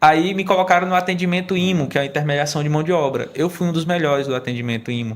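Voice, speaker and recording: Speaking at a very fast pace with hardly any pauses, a man uses a fairly high pitch that varies in an ordinary way. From Maranhão interior, Brazil. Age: 20s. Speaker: state youth employment program coordinator. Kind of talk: podcast conversation.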